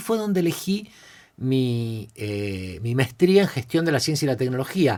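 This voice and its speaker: In a very clean recording with a silent background, a man with a Rioplatense accent speaks in an animated tone with very wide pitch swings. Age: 50s. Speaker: creativity and innovation expert. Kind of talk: podcast interview, casual storytelling. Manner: animated, many repetitions and fillers.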